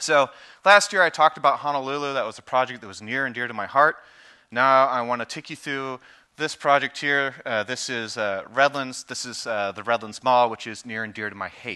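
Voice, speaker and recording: Over a quiet background, a man speaks fairly quickly in a bright, sharp tone with ordinary pitch variation and big swings in loudness. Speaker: presenter. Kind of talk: conference presentation. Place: stage. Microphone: headset.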